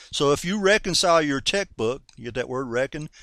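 A man with a North Carolina accent, his voice fairly high-pitched, bright and sharp in tone, lively in intonation, on a very clean recording with a silent background. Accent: Southern US (North Carolina). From US South, North Carolina. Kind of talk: sermon-style radio teaching. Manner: animated.

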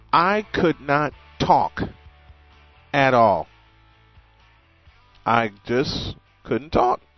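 Music plays as a man speaks at a very slow pace, his pitch swinging very widely. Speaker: radio host. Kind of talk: morning show talk. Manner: halting.

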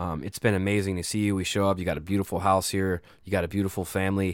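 A man's fairly low, ordinary speaking voice at a fairly quick pace, on a very clean recording with a silent background. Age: 30s. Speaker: podcast host. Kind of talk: casual chat. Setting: on the road, recording at guest's place.

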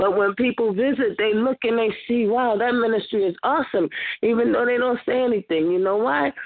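A woman with an unremarkable speaking voice, fairly high in pitch, fairly quick, with ordinary pitch variation. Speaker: church member. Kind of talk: testimony; prayer. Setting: phone conference call.

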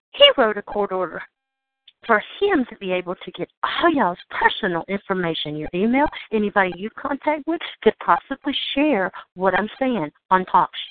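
A woman at medium pitch and moderate pace with a Southern US accent, very wide pitch swings and big swings in loudness. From Georgia, United States. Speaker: call-in talk show host. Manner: ranting, agitated.

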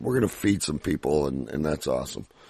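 A man's very deep, low voice with a dark, mellow tone, vocal fry, and ordinary pitch variation. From Canada. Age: 50s. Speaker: radio host. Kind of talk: interview. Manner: excitable; halting.

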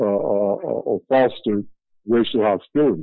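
This man's voice is fairly low-pitched, with ordinary pitch variation. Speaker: activist. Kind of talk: panel discussion. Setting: phone call. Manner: halting.

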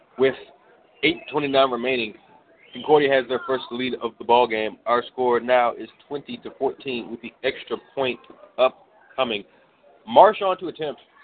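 Noticeable background noise sits under a man's medium-pitched voice with ordinary pitch variation. He speaks at a fairly slow pace, with big swings in loudness. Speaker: high school football radio play-by-play announcer. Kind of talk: live sports commentary, play-by-play call of a football game. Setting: press box at a stadium, broadcasting live on radio.

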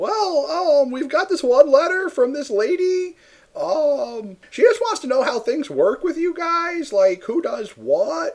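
Putting on a squeaky character voice, a man talks at a fairly slow pace with an extremely high pitch. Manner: fake put-on voice.

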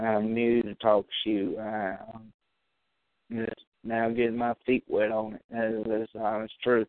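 Here a man speaks at a medium pitch in a flat monotone. His pace is fairly slow. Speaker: amateur internet radio host talking video games. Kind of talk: casual solo talk show. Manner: rambling; halting.

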